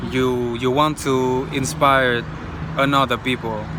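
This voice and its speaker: Noticeable background noise sits under a speaker with a non-native accent talking at a fairly slow pace. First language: not English. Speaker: vlogger. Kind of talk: motivational monologue. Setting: outdoors. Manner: halting.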